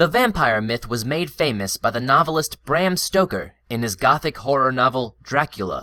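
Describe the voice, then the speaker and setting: On a very clean recording with a silent background, a man with an American accent speaks at a moderate pace in a fairly high voice. His tone is bright and sharp, with very wide pitch swings. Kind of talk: listening test narration.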